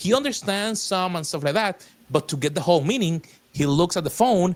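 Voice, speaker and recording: A man speaks with a Spanish accent at a fairly quick pace, his pitch high and his intonation lively. The recording is very clean, with a silent background. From Puerto Rico. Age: 40s. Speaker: technologist and faith-based strategist. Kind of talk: podcast interview.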